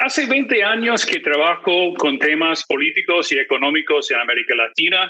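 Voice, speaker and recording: A man at a fairly slow pace. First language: English (speaking Spanish). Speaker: political analyst and magazine editor. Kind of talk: conference presentation. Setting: video call. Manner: frequent filler hesitations.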